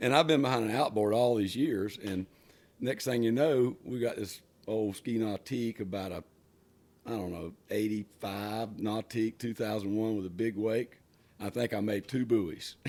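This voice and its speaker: This man has a plain, everyday voice with ordinary pitch variation. He talks at a moderate pace and a medium pitch. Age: 60s. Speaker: water ski lake owner and boat driver. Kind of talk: casual interview chat. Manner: relaxed, conversational with fillers.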